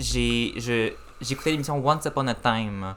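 A man's medium-pitched voice. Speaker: cinema manager and podcaster. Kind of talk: casual chat. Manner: calm.

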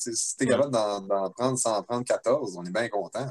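Here a man speaks with a Quebec accent at a moderate pace. His pitch is medium, with ordinary variation. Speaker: band member. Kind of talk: casual chat.

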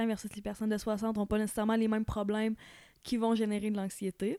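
Against a silent background on a very clean recording, a woman speaks very fast at a fairly high pitch. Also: dry, close sound with no echo. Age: 20s. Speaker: podcast guest. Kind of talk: casual chat.

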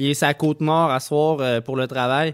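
A fairly high-pitched man with a Quebec accent, heard dry and close with no echo. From Quebec, Saint-Nicolas near Quebec City. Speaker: radio host. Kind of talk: casual radio chat. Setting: home studio, remote radio show.

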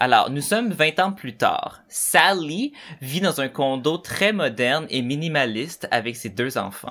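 Against noticeable background noise, a man with a fairly high pitch speaks very slowly with lively intonation. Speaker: podcast host. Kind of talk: casual chat.

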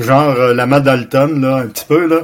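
Speaking at a moderate speed and medium pitch, a man with an unremarkable speaking voice shows ordinary pitch variation. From Quebec City. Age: 60s. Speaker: martial arts master and retired teacher. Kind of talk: interview.

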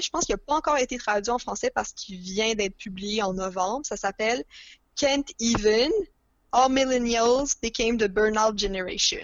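A woman with a fairly high pitch and a normal speaking voice, ordinary pitch variation and a moderate pace. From Montreal, Quebec. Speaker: podcast guest, book lover. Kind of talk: casual chat.

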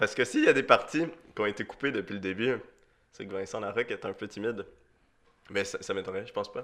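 This man has an animated tone and a slight Swiss French accent. He talks at a very fast pace yet leaves long, frequent pauses. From Switzerland. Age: young. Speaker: podcast co-host for the episode. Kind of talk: casual chat.

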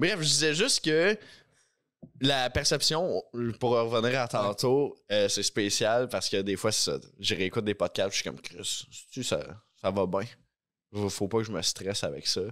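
With lively intonation and long, frequent pauses, a man of medium pitch speaks at a fairly slow pace in a very clean recording with a silent background. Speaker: podcast co-host. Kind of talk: casual chat.

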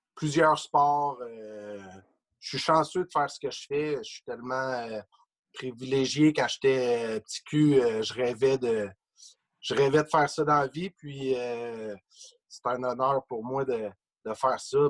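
Dry, close sound with no echo, a man at medium pitch speaking very slowly with fairly even intonation, long, frequent pauses and big swings in loudness. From Quebec, Trois-Pistoles (Lower St. Lawrence). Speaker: sports journalist and author. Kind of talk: casual interview.

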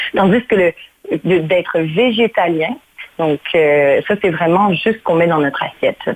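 A woman with a normal speaking voice talks fairly slowly at a fairly low pitch, her loudness very even and her pitch varying in an ordinary way. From Mauritius, then Canada from age 9. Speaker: cooking enthusiast. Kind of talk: radio interview.

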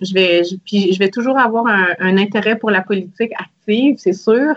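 With ordinary pitch variation, a woman talks in a medium pitch. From Quebec, Salaberry-de-Valleyfield. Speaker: federal politician. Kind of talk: interview.

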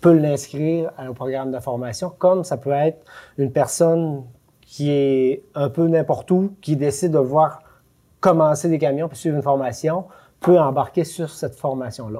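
Over a very clean recording with a silent background, a man speaks at a moderate pace in a fairly high pitch, with a dark, mellow tone and ordinary pitch variation. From Quebec, Lac-Saint-Jean. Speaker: educational advisor, former truck driver. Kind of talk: casual interview.

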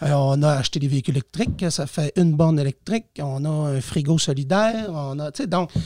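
A man talks at a fairly quick pace with hardly any pauses, his fairly high pitch carrying a dark, mellow tone and a somewhat breathy quality. His pitch varies in an ordinary way, and the sound is dry and close with no echo. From Quebec, Lac-Saint-Jean region. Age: 40s. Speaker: teacher and municipal councillor. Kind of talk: casual interview.

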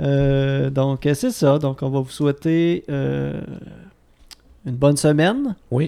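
Against noticeable background noise, a man with a fairly high pitch speaks at a very slow pace with long, frequent pauses and fairly even intonation. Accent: Quebec. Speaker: podcast host. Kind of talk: casual chat.

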